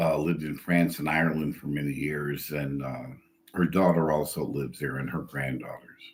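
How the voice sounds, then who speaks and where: Flat, monotone delivery with vocal fry comes at a moderate pace in an American accent. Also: man, very deep, low pitch for a man. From US Midwest, Chicago. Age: 70s. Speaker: PhD psychology student and poet. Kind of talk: self-introduction video. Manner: halting, many fillers.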